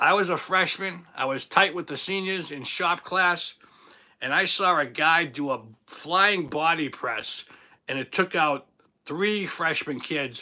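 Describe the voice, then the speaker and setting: The voice carries a Boston accent and an animated tone. It is bright and sharp, at a fairly slow pace. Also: man, high pitch for a man, ordinary pitch variation. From Boston, Massachusetts. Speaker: livestream host. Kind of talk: casual livestream chat. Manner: loud.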